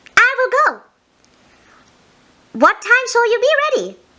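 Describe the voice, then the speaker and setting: Squeaky and at an extremely high pitch, a woman's put-on character voice moves at a fairly slow pace. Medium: read story. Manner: cheerful, clever.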